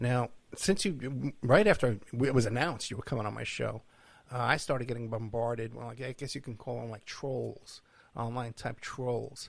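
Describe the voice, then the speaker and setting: With an American accent and vocal fry, a man talks at a moderate pace in a medium pitch, with ordinary pitch variation and big swings in loudness. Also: very clean recording, silent background. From New York. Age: 60s. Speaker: podcast host, private investigator. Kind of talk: interview.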